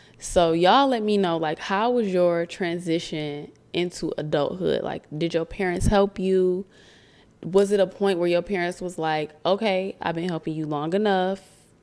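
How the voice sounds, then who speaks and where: Moderate pace with an American accent, on a very clean recording with a silent background. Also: woman, medium pitch for a woman. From Michigan (Romulus/Detroit). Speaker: podcast host. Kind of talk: casual talk to camera. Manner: animated.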